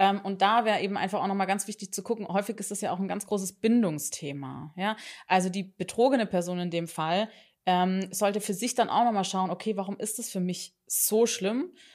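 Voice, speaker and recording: With an ordinary speaking voice, a woman talks at a fairly quick pace and medium pitch, her intonation fairly even on a very clean recording with a silent background. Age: 30s. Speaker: couples therapist. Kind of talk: casual interview.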